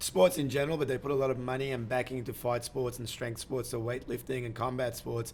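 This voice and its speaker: This man's voice sits at a medium pitch. He moves at a fairly quick pace with flat, monotone intonation. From Iran. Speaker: podcast host. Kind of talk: interview.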